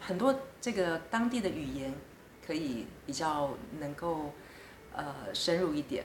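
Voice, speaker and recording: The speech is very slow, with long, frequent pauses and very wide pitch swings. Noticeable background noise and audible room echo fill the recording. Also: woman, very deep, low pitch for a woman. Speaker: diplomat. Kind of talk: interview. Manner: hesitant with frequent fillers.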